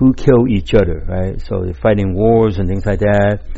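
A loud man's voice, very deep and low, with very wide pitch swings. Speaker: chiropractor and martial arts teacher. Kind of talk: solo podcast monologue. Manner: halting, with frequent fillers; says he will speak slower and louder.

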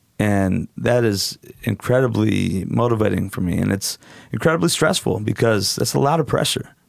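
A man's fairly low voice at a moderate pace, with lively intonation and a West Coast accent. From Portland, Oregon, US. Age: 40s. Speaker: DJ and strip club event promoter. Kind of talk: casual chat. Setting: studio.

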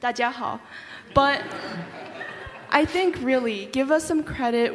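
Over noticeable background noise, a woman with an American accent speaks at a very slow pace in a high pitch, with ordinary pitch variation. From United States. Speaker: university student. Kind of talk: panel discussion. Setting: stage with audience.

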